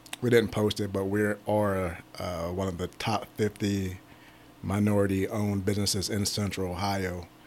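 In an American accent, a man with a fairly low voice talks at a moderate pace in a flat monotone. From Pittsburgh, Pennsylvania. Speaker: staffing agency owner. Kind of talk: interview.

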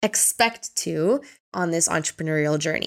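A woman uses a normal speaking voice with ordinary pitch variation at a moderate pace. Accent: Canadian. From Canada, Ontario. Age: 30s. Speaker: podcast host and life coach. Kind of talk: casual monologue.

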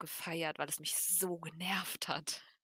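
A woman speaks in a bright, sharp tone, her voice dry and close with no echo. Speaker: wrestling fan co-host. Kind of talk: casual chat.

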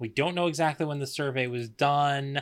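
Fairly high in pitch for a man, an unremarkable speaking voice moves at a fairly quick pace with ordinary pitch variation. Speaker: guest podcaster. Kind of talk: casual chat. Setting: video call.

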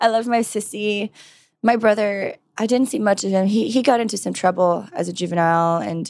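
A woman with an American accent and a normal speaking voice, lively intonation, and a fairly quick pace. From California, US. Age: 30s. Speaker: model and firearms trainer. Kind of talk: interview.

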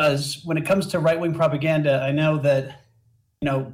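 A man speaks in a monotone, flat intonation at a moderate pace, somewhat breathy. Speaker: caller. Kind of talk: call-in conversation. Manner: halting.

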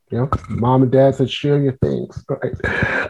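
A man speaks in a New York accent. His pace is moderate. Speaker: pastor and author. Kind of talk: interview.

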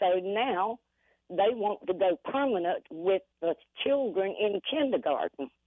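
A woman uses a normal speaking voice with lively intonation, moving at a fairly slow pace. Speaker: caller. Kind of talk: casual chat. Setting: phone call.

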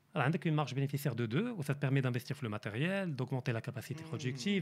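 A man talks very fast in a somewhat breathy, fairly high voice, his intonation lively. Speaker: economist. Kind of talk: interview.

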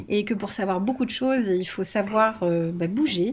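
A woman talks slowly, fairly so, her voice somewhat breathy. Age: 40s. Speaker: homeschooling parent and educational content creator. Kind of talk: casual chat.

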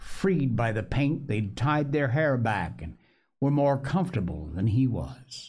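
Natural voice, reading

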